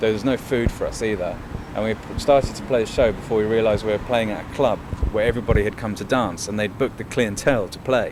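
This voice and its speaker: Noticeable background noise accompanies very fast speech with fairly even intonation. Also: man, medium pitch for a man. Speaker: band member. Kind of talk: interview.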